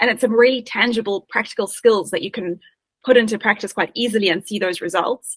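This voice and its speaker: With a South African accent, a woman speaks very fast at a fairly high pitch. The sound is dry and close, with no echo. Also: ordinary pitch variation. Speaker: agile coach. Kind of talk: interview.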